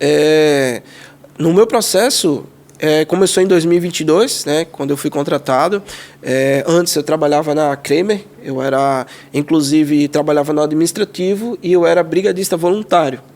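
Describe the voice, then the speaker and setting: A man with fairly high pitch speaks at a moderate pace, using ordinary pitch variation. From Pernambuco, Brazil (Jaboatão dos Guararapes). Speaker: civil firefighter. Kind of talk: podcast interview.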